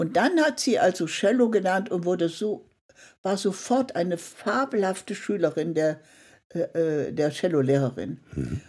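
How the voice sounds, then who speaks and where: A woman at a fairly slow pace with very wide pitch swings, on a very clean recording with a silent background. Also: medium pitch for a woman. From Saxony-Anhalt, Germany (Merseburg). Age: 80s+. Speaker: art journalist. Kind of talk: interview conversation.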